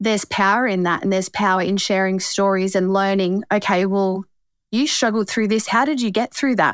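With an Australian accent, a woman speaks at a fairly quick pace in a medium pitch, her intonation fairly even and her loudness very even, on a very clean recording with a silent background and a dry, close sound with no echo. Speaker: cancer survivor. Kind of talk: testimony.

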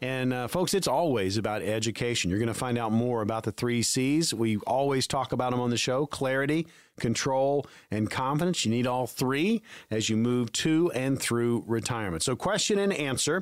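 Talking at a moderate pace, a man with a medium pitch uses lively intonation and very even loudness in an ordinary speaking voice. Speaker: radio host, consumer advocate. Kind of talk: radio show host reading a promo and giving phone number. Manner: clear, upbeat, brisk.

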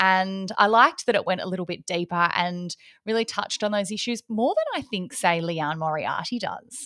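With an Australian accent, this voice has a bright, sharp tone, ordinary pitch variation and a moderate pace, recorded with a dry, close sound and no echo. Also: woman, medium pitch for a woman. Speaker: podcast co-host. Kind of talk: casual chat.

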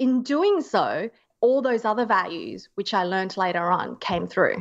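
A woman's fairly high voice in an Australian accent, fairly slow, with very wide pitch swings, against a quiet background. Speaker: zero waste activist and medical student. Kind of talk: interview conversation.

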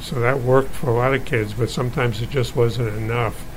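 A man's medium-pitched voice against noticeable background noise. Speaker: physician. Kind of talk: medical explanation.

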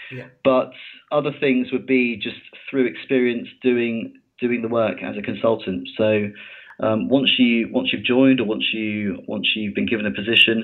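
The speaker is a man with a British accent. He keeps a moderate pace. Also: medium pitch for a man, fairly even intonation. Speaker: mining engineering consultant. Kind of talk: interview. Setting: podcast recording.

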